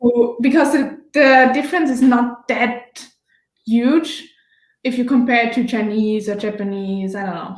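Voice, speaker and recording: In a slight Austrian accent, a woman speaks fairly slowly at a high pitch, her loudness swinging widely amid audible room echo. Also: ordinary pitch variation. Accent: German-speaking Austrian accent, slight. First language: German. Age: 20s. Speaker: former exchange student. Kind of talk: casual interview.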